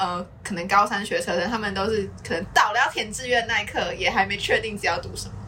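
A woman's medium-pitched voice with a Taiwanese accent, fairly even intonation, a fairly quick pace and hardly any pauses, against noticeable background noise. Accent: Taiwanese Mandarin. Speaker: podcast host. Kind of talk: casual chat; podcast outro.

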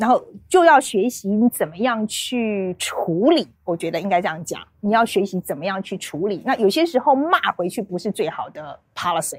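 A woman's fairly high voice with very wide pitch swings and a moderate pace. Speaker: foreign correspondent. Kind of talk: casual chat.

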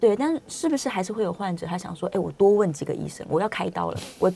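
A woman's very fast speech in a Taiwanese accent, with noticeable background noise. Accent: Taiwanese Mandarin. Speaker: radio health show host. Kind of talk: radio interview. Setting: studio.

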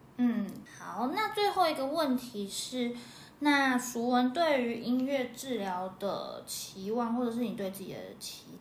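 Over noticeable background noise and audible room echo, a woman with a high voice speaks fairly slowly with lively intonation. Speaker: music teacher and podcast host. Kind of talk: casual chat.

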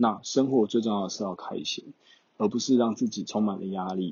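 A man speaks with a Taiwanese accent. His pitch is fairly low and his pace moderate. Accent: Taiwanese Mandarin. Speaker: exchange student vlogger. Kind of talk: casual solo talk.

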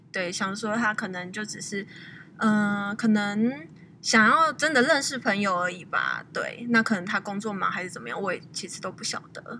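Using a normal speaking voice, a woman talks at a moderate pace and medium pitch, with ordinary pitch variation and big swings in loudness. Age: 20s. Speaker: guest. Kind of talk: casual interview.

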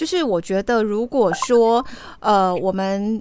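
The woman's delivery is fairly slow. Her voice sits at a medium pitch. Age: 40s. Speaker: radio host. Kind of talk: radio interview.

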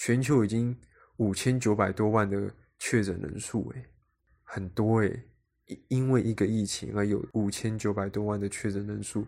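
This man talks at a moderate pace in a fairly low pitch. The recording is very clean and the background silent. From Taiwan. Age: 20s. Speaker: podcast host, aspiring actor. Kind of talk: solo podcast monologue.

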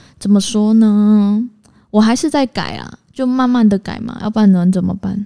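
A woman's voice with a dark, mellow tone and fairly even intonation. Her loudness swings widely. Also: fairly high pitch for a woman, moderate pace. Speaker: podcast co-host. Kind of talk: casual chat. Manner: direct, blunt.

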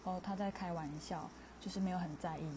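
A woman speaks with an unremarkable speaking voice. Her pitch is fairly low and her intonation fairly even. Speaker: podcaster. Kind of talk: casual monologue.

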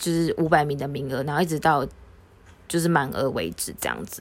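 A woman speaks with ordinary pitch variation. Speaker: podcast co-host. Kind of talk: casual chat. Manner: talkative.

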